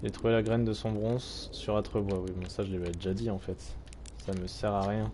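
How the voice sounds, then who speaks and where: Audible room echo surrounds a man whose fairly low pitch, dark, mellow tone and fairly even intonation carry through. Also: moderate pace. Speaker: streamer. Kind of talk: let's play commentary. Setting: live stream.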